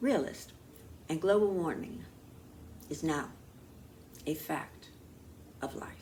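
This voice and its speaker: A woman speaks with vocal fry and lively intonation at a moderate pace. Audible room echo surrounds her voice. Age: 80s+. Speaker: talk show host and producer. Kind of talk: scripted talk show monologue. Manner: formal.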